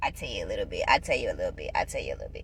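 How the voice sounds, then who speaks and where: There is noticeable background noise. A woman speaks over it. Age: 20s. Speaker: vlogger. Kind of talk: casual vlog tutorial. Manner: loud.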